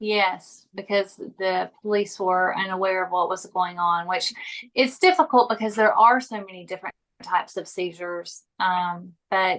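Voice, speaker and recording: A woman with a Southern US accent speaks at a fairly slow pace and medium pitch over a quiet background. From US South. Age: 40s. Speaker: epilepsy patient and suicide attempt survivor. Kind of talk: interview. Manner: halting, some word-finding trouble.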